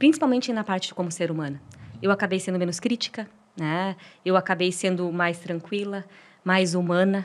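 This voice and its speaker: The recording is very clean, with a silent background. A woman with an ordinary speaking voice talks at a moderate pace and medium pitch, with ordinary pitch variation. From Brazil, interior of Paraná. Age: 40s. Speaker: marathon runner. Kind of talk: podcast interview. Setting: studio.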